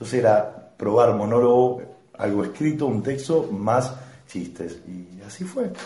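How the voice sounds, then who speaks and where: In a Rosario accent, a man speaks at a medium pitch and a fairly slow pace with lively intonation and big swings in loudness. Audible room echo and noticeable background noise surround him. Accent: Argentine Spanish (Rosario). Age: 30s. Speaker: stand-up comedian. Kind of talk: casual chat. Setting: home recording over beers.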